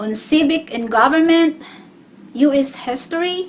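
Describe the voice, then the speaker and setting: This woman speaks with a non-native accent and lively intonation. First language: not English. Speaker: GED test taker sharing tips. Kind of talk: casual tutorial vlog. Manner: halting, with repetitions and fillers.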